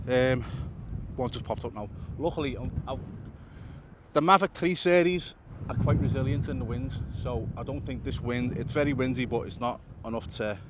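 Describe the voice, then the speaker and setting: A man speaks with lively intonation at a medium pitch. He leaves long, frequent pauses. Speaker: drone videographer and vlogger. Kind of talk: casual vlog commentary. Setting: outdoors. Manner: fast.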